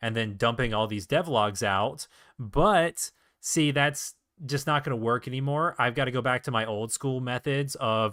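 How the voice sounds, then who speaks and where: A man talks at a moderate pace and medium pitch, with ordinary pitch variation. It is an ordinary speaking voice. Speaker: indie game developer streamer. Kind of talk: live stream casual talk. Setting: live stream at home setup. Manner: casual, filler-heavy.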